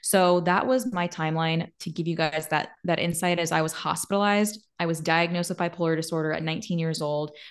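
Over a quiet background, a woman with an ordinary speaking voice talks fairly quickly at a fairly low pitch with fairly even intonation. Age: 20s. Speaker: podcaster and mental health speaker. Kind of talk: casual interview.

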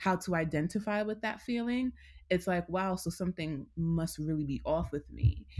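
The speaker has an unremarkable speaking voice with an American accent and a moderate pace. Pitch variation is ordinary, and the recording is very clean with a silent background. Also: woman. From New York City, Queens. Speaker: therapist and wellness coach. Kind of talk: interview.

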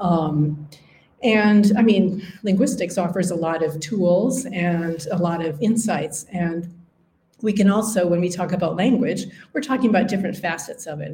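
A woman speaks with an Upper Midwestern accent. Her voice is somewhat breathy, with a dark, mellow tone. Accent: Upper Midwestern American. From US Upper Midwest. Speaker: linguistics professor. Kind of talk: interview conversation. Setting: university campus.

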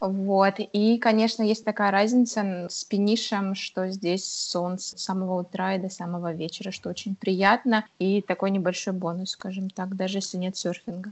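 Flat and monotone, a woman talks at a medium pitch. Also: moderate pace. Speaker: illustrator. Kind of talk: interview. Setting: remote call.

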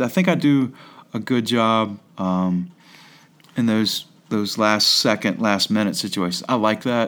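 A man with a normal speaking voice talks at a moderate pace and medium pitch. His intonation is lively and his loudness very even. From Staunton, Virginia. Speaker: high school basketball coach. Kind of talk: interview. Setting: classroom.

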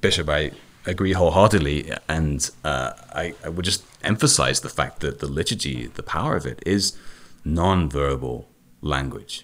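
Pitch variation is ordinary as a man talks in a very deep, low voice. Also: moderate pace. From United Kingdom, Celtic region. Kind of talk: radio interview.

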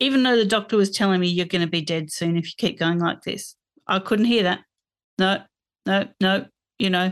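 A woman with an Australian accent speaks at medium pitch and a moderate pace, with ordinary pitch variation and a quiet background. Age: 50s. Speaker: podcast guest sharing eating disorder experience. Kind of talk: personal testimony in interview.

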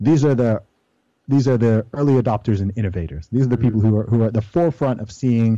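Against a quiet background, a man with an American accent speaks at medium pitch in a dark, mellow tone. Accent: sounds American. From Saudi Arabia and UK, Nigerian family. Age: 30s. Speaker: rapper and weightlifter. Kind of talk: interview.

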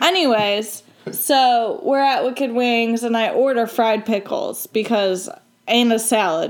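A woman with a plain, everyday voice speaks at a fairly slow pace, her fairly high pitch showing ordinary pitch variation. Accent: American. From Michigan. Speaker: college student, guest. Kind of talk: casual chat.

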